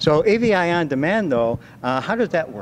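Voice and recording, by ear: A man speaks at a moderate pace, his fairly high pitch moving in big swings.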